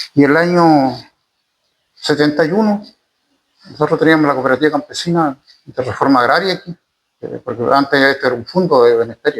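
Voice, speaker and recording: With a Chilean accent, a man with a fairly high pitch talks at a fairly quick pace, broken by long, frequent pauses. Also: ordinary pitch variation. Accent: rural Chilean Spanish. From Chile, rural. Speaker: former community leader, farmer. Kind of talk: interview, oral history. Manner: halting, many repetitions.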